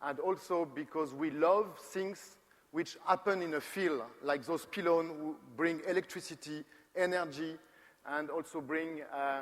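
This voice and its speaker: Using fairly even intonation, a man with a French accent and a fairly high pitch talks at a fairly slow pace. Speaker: company co-founder, design presenter. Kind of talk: conference presentation. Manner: halting, with many repetitions and fillers.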